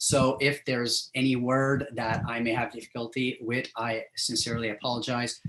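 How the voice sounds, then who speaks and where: A man with a strong French accent speaks at medium pitch and a moderate pace. His intonation is monotone and flat, with hardly any pauses. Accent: thick French. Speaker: professor. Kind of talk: lecture. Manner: halting, many fillers.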